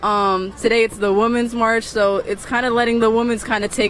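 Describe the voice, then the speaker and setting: A woman speaks at a moderate pace while background noise is noticeable. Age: young. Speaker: protester. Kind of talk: street interview.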